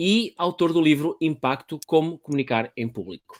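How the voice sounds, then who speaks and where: A man's fairly high-pitched, fairly slow voice in a European Portuguese accent, with lively intonation and a dry, close sound with no echo. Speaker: podcast host, public speaking trainer. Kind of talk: casual interview via live stream. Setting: live online video stream.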